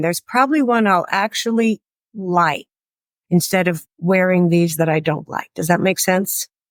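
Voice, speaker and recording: A woman with an American accent and a normal speaking voice speaks at a moderate pace, medium pitch and ordinary pitch variation, in a dry, close sound with no echo on a very clean recording with a silent background. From US Pacific Northwest, Seattle. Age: 60s. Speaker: retired school librarian. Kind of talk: interview.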